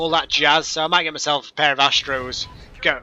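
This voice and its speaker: With a northern English accent, a man talks at a moderate pace in a fairly high pitch, his tone bright and sharp and his intonation fairly even. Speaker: gaming commentator. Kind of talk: gameplay commentary. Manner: casual, rambling with fillers.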